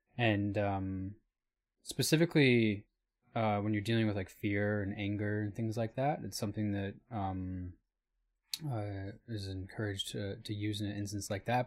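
A plain, everyday voice, a man with an American accent, fairly low pitch and moderate pace. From Michigan. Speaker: new media artist, podcast co-host. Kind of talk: casual chat.

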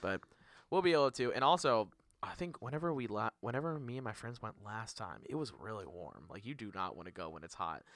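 A man with a medium pitch speaks at a fairly quick pace, with very wide pitch swings and big swings in loudness. Vocal fry shows up in his voice on a very clean recording with a silent background. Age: 20s. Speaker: podcast host. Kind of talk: casual chat.

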